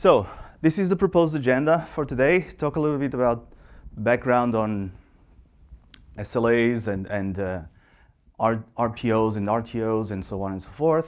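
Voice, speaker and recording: A man with a Portuguese accent and a medium pitch speaks at a moderate pace with lively intonation, big swings in loudness, and long, frequent pauses. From Portugal. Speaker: software engineer. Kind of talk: conference talk. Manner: halting, many fillers.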